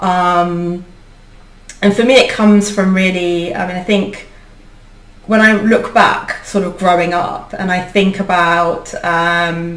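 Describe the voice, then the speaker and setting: A woman with a British accent speaks at a very slow pace with fairly even intonation. Room echo is audible around her voice. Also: medium pitch for a woman. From UK, Indian heritage. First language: Indian language (not English). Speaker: leadership coach and founder. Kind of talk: interview conversation. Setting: video podcast recording. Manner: hesitant, many fillers.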